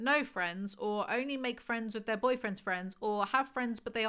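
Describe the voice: The reading aloud is plain, and the pitch moves in an ordinary way.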